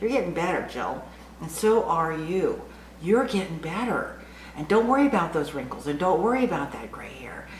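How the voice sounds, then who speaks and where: A woman with a medium pitch speaks at a moderate pace, her pitch swinging very widely and her loudness in big swings, amid audible room echo and noticeable background noise. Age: 60s. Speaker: lifestyle vlogger for women over 60. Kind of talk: casual vlog monologue. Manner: animated.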